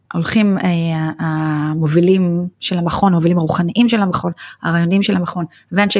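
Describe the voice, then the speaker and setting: A somewhat breathy woman at a moderate pace, dry and close with no echo. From Israel. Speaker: nonprofit executive. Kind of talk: interview.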